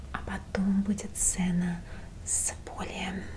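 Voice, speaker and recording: There is light background noise behind a woman's voice. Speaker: role-play host. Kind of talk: soft-spoken role-play talk to viewer. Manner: soft-spoken ASMR roleplay voice. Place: home room.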